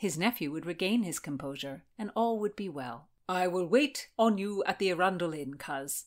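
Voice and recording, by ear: With lively intonation, a speaker is reading aloud in a natural voice.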